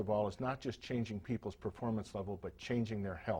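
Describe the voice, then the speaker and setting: Somewhat breathy and dark, mellow in tone, a man talks at a fairly quick pace with fairly even intonation. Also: very clean recording, silent background. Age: 60s. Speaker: health and performance coach. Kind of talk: scripted talk to camera.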